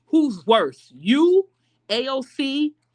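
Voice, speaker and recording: Loud, animated woman's voice with very wide pitch swings. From Chicago, US. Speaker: political commentary YouTuber. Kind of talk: casual commentary vlog rant. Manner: loud talker; animated, heated.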